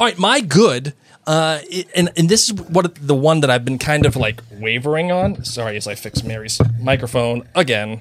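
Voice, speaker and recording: Against noticeable background noise, a man of medium pitch speaks at a moderate pace with lively intonation. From Ireland. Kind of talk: casual chat.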